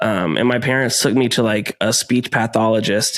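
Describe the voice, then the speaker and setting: At a fairly slow pace, a man speaks in a normal speaking voice with a medium pitch and ordinary pitch variation. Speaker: podcast host, voice actor and metalcore singer. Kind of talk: casual chat.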